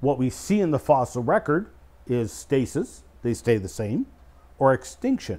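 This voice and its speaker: A man with a Canadian accent speaks in a dark, mellow tone with very wide pitch swings. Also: moderate pace. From Canada, Eastern Ontario; Ontario. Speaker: creation scientist and speaker; speaker. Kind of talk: casual explanatory discussion. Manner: hesitant fillers. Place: studio.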